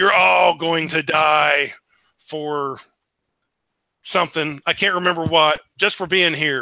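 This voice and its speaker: A man performs a put-on character voice that is booming and raspy, pitched fairly high, with long, frequent pauses on a very clean recording against a silent background. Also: fairly slow pace. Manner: menacing, ominous.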